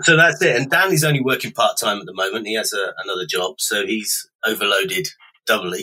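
Fairly quick male speech marked by big swings in loudness. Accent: British. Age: 40s. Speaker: online retail founder. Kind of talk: interview. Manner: hesitant, with frequent ums.

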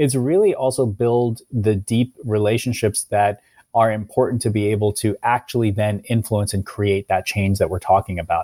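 A man with a Midwestern American accent talks at a moderate pace in a dark, mellow tone with fairly even intonation. The recording is very clean, dry and close, with a silent background and no echo. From US Midwest, Cincinnati, Ohio. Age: 30s. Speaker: nonprofit president. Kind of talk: interview. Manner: hesitant, many fillers.

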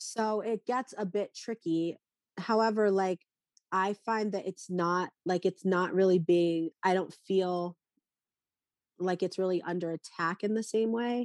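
A woman with an American accent speaks in a normal speaking voice at a medium pitch and a fairly slow pace, her intonation fairly even. The recording is very clean, with a silent background and a dry, close sound with no echo. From North Carolina, US. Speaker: makeup artist. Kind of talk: interview conversation. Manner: casual, laughs often.

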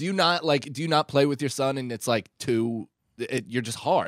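In a very clean recording with a silent background, a man with an unremarkable speaking voice and an American accent talks at a moderate pace with lively intonation. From New York area. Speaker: comedian. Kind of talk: casual chat.

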